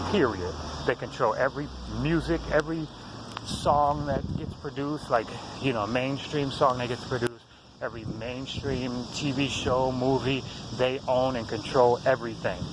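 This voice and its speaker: Noticeable background noise sits behind a man at a moderate pace. His pitch is medium and his intonation fairly even. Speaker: conspiracy video blogger. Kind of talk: casual monologue to camera. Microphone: poor sound, low volume.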